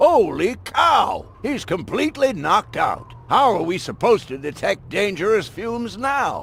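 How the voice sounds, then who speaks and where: Putting on a character voice at an extremely high pitch, a man talks at a moderate pace with hardly any pauses over clear background noise. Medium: video game. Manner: blunt.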